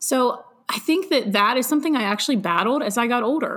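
With noticeable background noise, a woman speaks at a moderate pace in a fairly high, animated voice with lively intonation. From western Pennsylvania. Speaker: entrepreneur and author. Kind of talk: interview.

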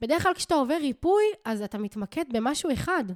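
On a very clean, dry, close recording with a silent background and no echo, a woman speaks at a fairly quick pace in an animated tone with very wide pitch swings. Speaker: spiritual coach and podcast host. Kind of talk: casual solo monologue.

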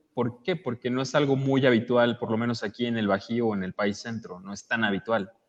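A man's normal speaking voice at medium pitch, fairly quick and with hardly any pauses, with ordinary pitch variation. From Mexico City, Iztapalapa. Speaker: podcaster and audiobook producer. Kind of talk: casual chat.

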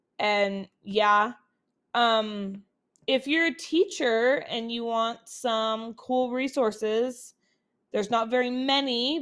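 In a very clean recording with a silent background, a woman speaks with fairly high pitch and fairly even intonation. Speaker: podcast host and teacher. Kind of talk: casual solo life update. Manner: chatty, many fillers.

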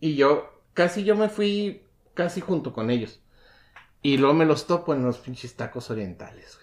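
Speaking at a fairly slow pace, a man with a fairly high pitch uses lively intonation and big swings in loudness. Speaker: podcast co-host. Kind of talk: casual chat. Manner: animated.

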